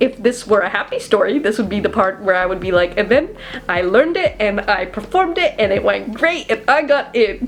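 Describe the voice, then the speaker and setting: Lively intonation comes through at a moderate pace over noticeable background noise. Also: woman. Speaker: college student YouTuber. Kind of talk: casual story time talk to camera. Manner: animated, dramatic, anxious retelling.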